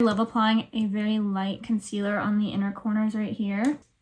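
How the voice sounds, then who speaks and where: This woman has a fairly high, somewhat breathy voice. She talks at a fairly quick pace. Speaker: beauty vlogger. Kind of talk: makeup tutorial. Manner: casual, chatty.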